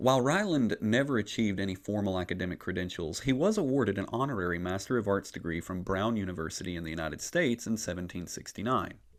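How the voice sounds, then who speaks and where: A man with a slight Appalachian accent talks at a very fast pace with hardly any pauses, his fairly low pitch moving with ordinary variation. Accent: slight Southern (Appalachian). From US South, Appalachia. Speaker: podcast host, church historian. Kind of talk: scripted history narration.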